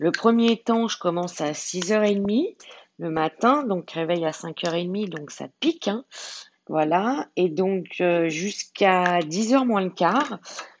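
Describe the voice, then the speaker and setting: Speaking at a fairly slow pace, a woman uses lively intonation in a fairly low pitch. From France, Lyon. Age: 40s. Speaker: diamond painting YouTuber. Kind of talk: casual chat. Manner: halting, many fillers.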